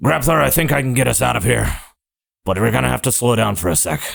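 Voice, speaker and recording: A raspy put-on character voice from a man, medium in pitch and very fast in pace. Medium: actual play.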